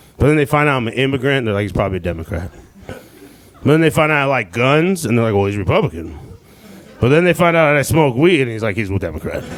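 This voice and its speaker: Talking at a very fast pace with very wide pitch swings around a medium pitch, a man is heard over noticeable background noise. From Southern California (born in Iran, moved at age five). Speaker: stand-up comedian. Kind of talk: stand-up. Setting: comedy club stage with audience. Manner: animated.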